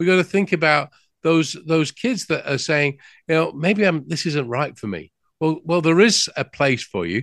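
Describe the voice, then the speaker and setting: Against a quiet background, a man with an English accent speaks at a moderate pace, his fairly high pitch showing ordinary variation. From England. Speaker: business news host. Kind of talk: interview. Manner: halting.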